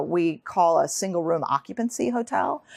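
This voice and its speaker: With a New York State accent, a woman speaks with lively intonation. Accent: American, New York State. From Troy, New York. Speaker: author and researcher. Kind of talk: lecture. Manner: fast; halting.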